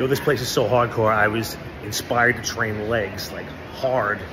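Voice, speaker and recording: At a moderate pace, a man talks in a monotone, flat way with noticeable background noise. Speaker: fitness vlogger. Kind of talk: casual vlog chat. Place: gym. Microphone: phone near.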